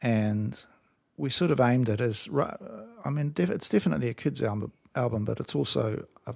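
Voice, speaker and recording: Lively intonation colors a man's speech in a New Zealand accent. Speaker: musician. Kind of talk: interview.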